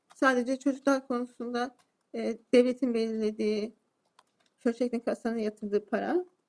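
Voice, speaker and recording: A woman talks at a fairly quick pace in a high pitch. Her intonation stays fairly even. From Turkey. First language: Turkish (speaking Swedish). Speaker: defendant. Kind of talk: court testimony. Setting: courtroom.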